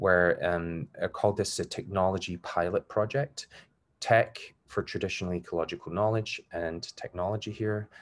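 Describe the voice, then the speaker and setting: In a quiet background, a man talks at a moderate pace. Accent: Glasgow. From Scotland, Glasgow. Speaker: academic researcher. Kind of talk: lecture. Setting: video call.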